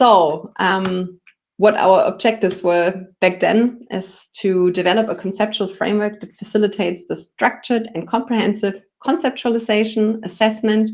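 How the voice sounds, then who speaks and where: With a normal speaking voice, a woman of medium pitch talks at a moderate pace with fairly even intonation against a quiet background. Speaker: public health researcher. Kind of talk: lecture.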